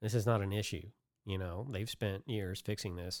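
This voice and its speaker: A man talks at a moderate pace in an ordinary speaking voice, fairly low in pitch with fairly even intonation, on a very clean recording with a silent background. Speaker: branding agency owner and podcast host. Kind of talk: casual chat.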